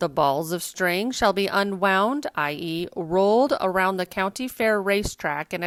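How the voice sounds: A natural voice for reading, with ordinary rises and falls in pitch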